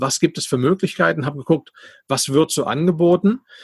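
A somewhat breathy male voice, dry and close with no echo, against a quiet background. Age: 40s. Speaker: podcast host and entrepreneur. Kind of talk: casual interview.

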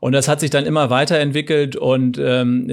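Delivered at a moderate pace, a normal speaking voice holds fairly even intonation. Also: man. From northern Germany, rural. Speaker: entrepreneur. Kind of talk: interview. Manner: frequent filler sounds (ähm).

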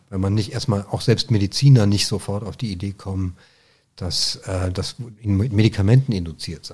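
A man speaks at a moderate pace in a fairly low, somewhat breathy voice with a dark, mellow tone, ordinary pitch variation and big swings in loudness, on a very clean recording with a silent background. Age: 50s. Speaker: Parkinson's patient sharing experience. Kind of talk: interview conversation. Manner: halting.

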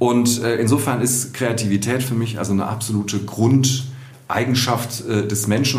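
A moderate pace and fairly even intonation, with audible room echo and noticeable background noise. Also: man. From Düsseldorf, Germany. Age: 40s. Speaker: art fair director. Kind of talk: podcast interview. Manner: hesitant with many fillers.

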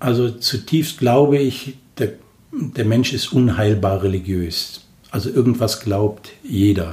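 Here a man talks at a very slow pace with a medium pitch. His voice is somewhat breathy, with ordinary pitch variation. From Germany, Cologne. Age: 50s. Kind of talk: personal faith interview. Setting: small room, in person.

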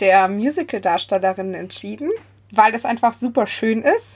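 The voice shows ordinary pitch variation. It is a normal speaking voice. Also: woman. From Bavaria (Munich southeast). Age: 20s. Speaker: church youth volunteer. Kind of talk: casual chat. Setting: remote recording from a basement.

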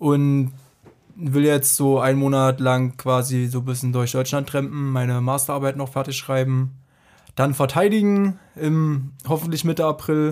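With a normal speaking voice, a man talks at a fairly slow pace, his pitch fairly high and his intonation fairly even, in a very clean recording with a silent background. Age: 30s. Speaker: statistics master's student. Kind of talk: casual interview.

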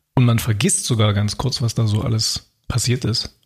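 Somewhat breathy, a man talks at a fairly slow pace, with medium pitch and ordinary pitch variation. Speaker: podcast co-host. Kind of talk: casual chat. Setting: at his own desk.

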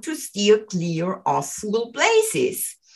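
A woman with a German accent talks at a very slow pace. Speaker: English teacher. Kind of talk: language lesson.

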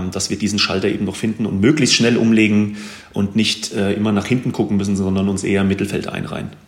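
A man with a fairly low pitch talks against noticeable background noise. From Hesse, Germany (Wetterau, near Gießen). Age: 40s. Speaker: handball goalkeeper and café owner. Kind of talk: casual interview. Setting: office, remote call.

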